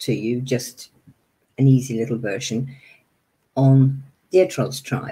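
A woman speaks at a very deep, low pitch. Her voice is somewhat breathy, with a dark, mellow tone. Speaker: meditation teacher. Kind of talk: webinar lecture. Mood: warm, slightly flustered. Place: home room. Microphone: webcam.

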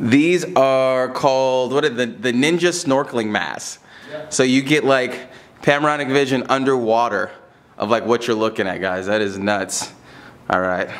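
The speaker is a man. He keeps a moderate pace with ordinary pitch variation. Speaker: travel vlogger. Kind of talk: casual vlog chat. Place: beach. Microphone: phone near.

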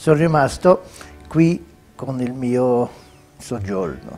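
With faint music in the background, a man speaks at a very slow pace and ordinary pitch variation. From Sweden. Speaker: retired footballer. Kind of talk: interview answer. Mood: warm, reminiscing, smiling. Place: home room. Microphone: lapel.

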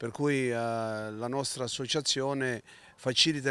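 Light background noise sits behind a man with a medium pitch and fairly even intonation. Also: dry sound with no echo. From Calabria, Italy. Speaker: teacher and community association member; teacher. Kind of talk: interview. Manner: halting, many fillers. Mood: solemn, earnest. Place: street. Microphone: handheld.

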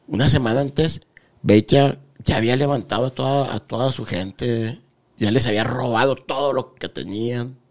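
A man at a moderate pace, fairly even intonation, quiet background. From Guadalajara, Mexico. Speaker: former cartel member; podcast host or guest. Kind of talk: interview. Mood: calm, serious recounting. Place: studio. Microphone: studio mic.

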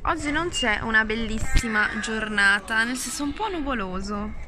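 Light background noise accompanies a woman talking at a moderate pace. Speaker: vlogger. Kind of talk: casual vlog chat. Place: home room. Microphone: phone near.

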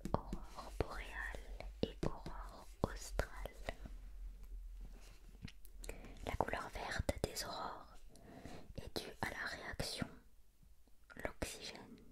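Whispering and soft-spoken, the speaker goes at a very slow pace with long, frequent pauses over loud background noise. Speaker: reader of a children's book. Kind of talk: reading aloud, bedtime-story style. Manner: soft ASMR whisper reading aloud.

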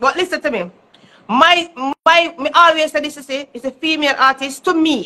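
A woman talks in a raised, projected voice. She has a Jamaican accent. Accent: Jamaican Patois-inflected English. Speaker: dancehall artist. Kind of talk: casual chat. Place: home room. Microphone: phone near.

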